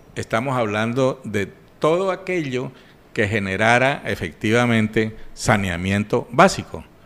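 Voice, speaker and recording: A man talks in a normal speaking voice at medium pitch. His intonation is lively and his pace fairly slow. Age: 60s. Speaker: regional public finance expert. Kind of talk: radio interview. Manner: formal.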